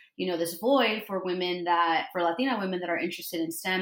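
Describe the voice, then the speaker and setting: Over noticeable background noise, a woman with a fairly low pitch talks at a fairly quick pace. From Los Angeles (East LA). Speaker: IT project manager. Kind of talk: casual chat.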